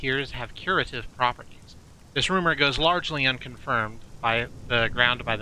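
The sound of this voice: Intonation is lively throughout this unforced reading voice.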